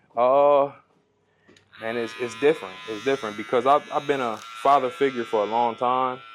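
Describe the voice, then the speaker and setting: A man with an American accent speaks at a moderate pace in an ordinary speaking voice, his medium pitch carried on fairly even intonation. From Ohio, Toledo. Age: 20s. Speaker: barber. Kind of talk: casual interview.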